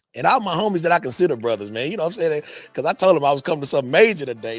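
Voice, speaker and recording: Music plays in the background as a man with an American accent speaks at a fairly high pitch, his voice swinging very widely up and down. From Texas, Dallas (Pleasant Grove). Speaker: vintage market host and vendor. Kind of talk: casual interview.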